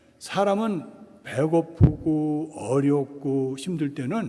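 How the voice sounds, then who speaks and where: This voice carries a dark, mellow tone. Its pitch moves in an ordinary way. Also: man. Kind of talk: lecture. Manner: casual, conversational.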